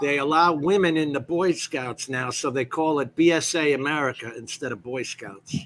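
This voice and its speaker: Speaking at a moderate pace, a man has a fairly high pitch, ordinary pitch variation and a normal speaking voice. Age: 60s. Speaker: drone show panelist, Marine veteran. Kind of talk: casual chat.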